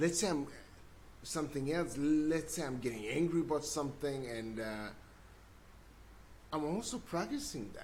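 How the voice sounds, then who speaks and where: A man's fairly high voice with a non-native accent, lively intonation and long, frequent pauses, in audible room echo. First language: not English. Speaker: self-development video blogger. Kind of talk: casual monologue. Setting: livestream, seated. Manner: halting, repeats words.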